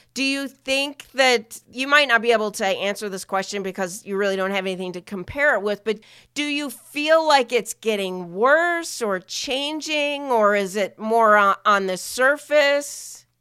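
A woman with an ordinary speaking voice talks at a fairly high pitch with lively intonation, at a fairly slow pace with hardly any pauses. The recording is very clean, with a silent background. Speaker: podcast host. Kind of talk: interview.

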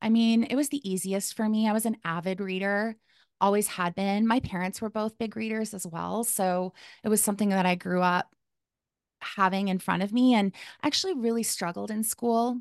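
A woman speaks at a moderate pace with a medium pitch and fairly even intonation. The sound is dry and close, with no echo and a quiet background. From Calgary, Alberta, Canada. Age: 40s. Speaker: life coach. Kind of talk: interview.

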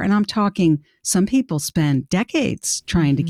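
Heard dry and close with no echo, a woman speaks in an ordinary speaking voice at a fairly low pitch with lively intonation. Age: 60s. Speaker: career coach. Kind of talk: interview.

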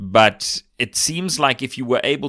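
A man's bright, sharp tone on a very clean recording with a silent background. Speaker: indie filmmaker, podcast co-host. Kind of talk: casual interview.

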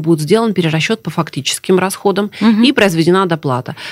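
Her intonation is lively, and this woman has an ordinary speaking voice at fairly low pitch. She moves along at a fairly quick pace. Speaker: government official, deputy minister of social protection. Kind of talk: live radio interview answering listener questions. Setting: radio studio, live broadcast. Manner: formal, explanatory.

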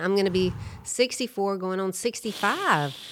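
A woman with a plain, everyday voice speaks fairly slowly at a medium pitch with ordinary pitch variation. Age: 50s. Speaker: podcast co-host and surfer. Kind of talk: casual chat. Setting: recording studio.

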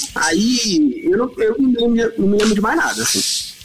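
A man speaking over noticeable background noise. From São Paulo, Brazil. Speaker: guitarist. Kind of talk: casual chat.

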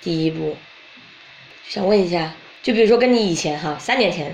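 There is noticeable background noise and audible room echo. A woman talks in a fairly low pitch. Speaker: podcast host. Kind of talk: casual chat.

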